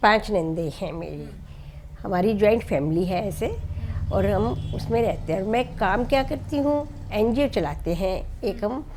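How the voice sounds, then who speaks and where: Over noticeable background noise with audible room echo, a woman speaks with very wide pitch swings. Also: medium pitch for a woman. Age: 60s. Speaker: NGO founder. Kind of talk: interview.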